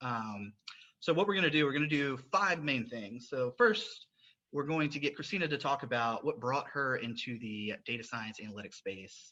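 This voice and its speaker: Speaking at a moderate pace, a man with a Southern US accent has a fairly high pitch, a bright, sharp tone and lively intonation. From US South. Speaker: podcast host. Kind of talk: interview podcast.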